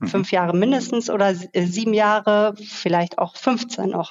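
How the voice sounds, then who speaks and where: A woman with a normal speaking voice talks at a fairly slow pace, medium in pitch, with ordinary pitch variation. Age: 40s. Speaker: expert on social sustainability. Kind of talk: interview conversation. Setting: remote call.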